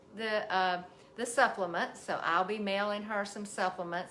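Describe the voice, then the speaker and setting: Medium pitch from a woman, carried on audible room echo. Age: 60s. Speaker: physical therapist and health coach. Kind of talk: casual health talk to viewers. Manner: halting, many fillers.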